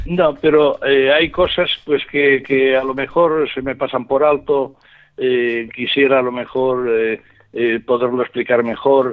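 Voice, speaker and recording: The speech moves at a very slow pace. Its intonation stays fairly even. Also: man, medium pitch for a man. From Spain, Valencia. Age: 70s. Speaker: writer. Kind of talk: interview. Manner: halting.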